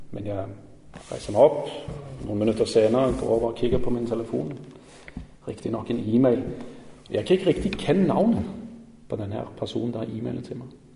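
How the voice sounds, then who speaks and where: A man speaks at a moderate pace with big swings in loudness. Audible room echo and noticeable background noise fill the recording. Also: medium pitch for a man, lively intonation. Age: 40s. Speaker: lay preacher. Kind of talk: sermon. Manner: halting.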